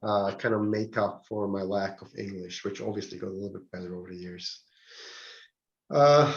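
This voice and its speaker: The speaker is a man. He has a non-native accent. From Switzerland. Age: 40s. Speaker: real estate trainer. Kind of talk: training seminar. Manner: hesitant, repeats words.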